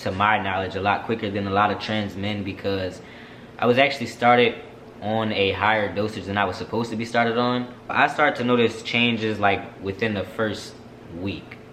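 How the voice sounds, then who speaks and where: With audible room echo and noticeable background noise, a man talks at a fairly low pitch with fairly even intonation. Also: fairly quick pace. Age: 20s. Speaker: vlogger. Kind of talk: casual Q&A vlog.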